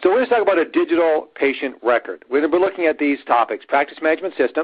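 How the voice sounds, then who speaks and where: At a very fast pace, a man speaks in a high pitch with very even loudness. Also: lively intonation. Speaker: dentist and technology speaker. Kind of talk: webinar presentation. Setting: online webinar.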